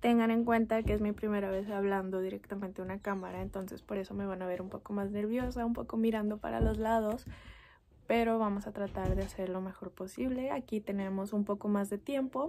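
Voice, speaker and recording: A soft-spoken woman at a medium pitch, fairly even in intonation, at a fairly quick pace. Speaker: mom vlogger. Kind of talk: casual talk to camera, personal storytime.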